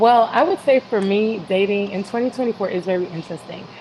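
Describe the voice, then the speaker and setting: Speaking at a medium pitch, a woman has a normal speaking voice. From Canada. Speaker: panelist on dating. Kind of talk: panel discussion.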